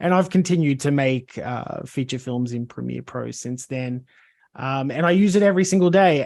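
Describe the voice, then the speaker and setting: This man speaks with an Australian accent. His pitch variation is ordinary. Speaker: video editor. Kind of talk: self-introduction, presentation.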